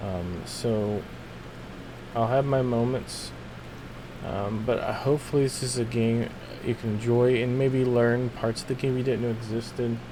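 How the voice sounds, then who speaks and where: At a moderate pace and medium pitch, a man speaks with fairly even intonation, over noticeable background noise and audible room echo. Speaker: gaming streamer. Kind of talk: casual chat. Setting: live stream. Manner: hesitant, many fillers. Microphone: voice may be too quiet on mic.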